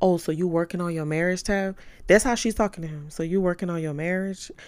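A woman's fairly low, animated voice with an American accent at a fairly quick pace, on a very clean recording with a silent background. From New Orleans, Louisiana. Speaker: podcast host. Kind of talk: personal storytelling monologue.

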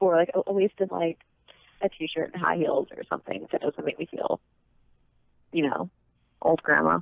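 With a dry, close sound and no echo, the voice moves at a moderate pace with long, frequent pauses, fairly even intonation and vocal fry. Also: woman, low pitch for a woman.

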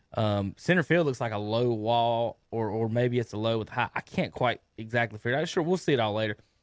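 A man speaks at medium pitch in a normal speaking voice with ordinary pitch variation and hardly any pauses, in a dry, close sound with no echo. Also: fairly quick pace. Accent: American. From North Carolina. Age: 30s. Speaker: sports radio host. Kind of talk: casual sports talk. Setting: radio studio.

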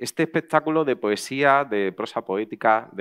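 Against a quiet background, a man talks at a moderate pace with lively intonation, the sound dry and close with no echo. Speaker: event host. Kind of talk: welcome speech at a live event. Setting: outdoor patio with audience. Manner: halting, with hesitations and repeated words.

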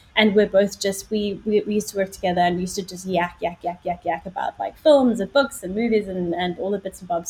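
A woman speaks with a South African accent. Her pitch is medium with ordinary variation. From South Africa, Johannesburg. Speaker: journalist and podcaster. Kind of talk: casual interview.

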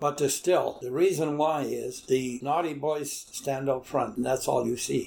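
Speaking fairly slowly with a Canadian prairie accent, a man uses a fairly high pitch and fairly even intonation. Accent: rural Canadian prairie. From Manitoba, Canada (St. Andrews area near Winnipeg). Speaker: retired farmer and longtime resident. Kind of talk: oral history interview. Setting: at home on his property.

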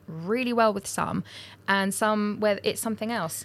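A woman with an ordinary speaking voice at medium pitch and a fairly quick pace, on a very clean recording with a silent background. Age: 30s. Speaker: photographer and business podcast co-host. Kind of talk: casual chat.

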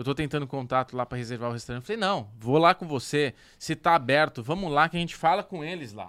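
Very fast and full of lively intonation, the speech swings widely in loudness in a very clean recording with a silent background. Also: man, fairly high pitch for a man, dry, close sound with no echo. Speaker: podcast co-host. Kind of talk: casual chat.

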